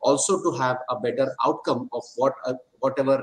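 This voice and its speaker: Using lively intonation, a man speaks at a moderate pace. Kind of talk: welcome address. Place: office. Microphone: video call.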